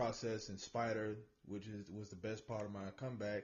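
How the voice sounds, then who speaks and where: A man speaks in a plain, everyday voice at medium pitch. His pace is moderate. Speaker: show host. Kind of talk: casual podcast interview.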